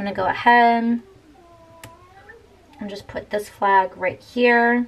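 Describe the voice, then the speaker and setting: A woman speaks at a very slow pace in a fairly high pitch, her intonation fairly even. Her loudness swings widely, and background noise is noticeable. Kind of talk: casual talk to camera.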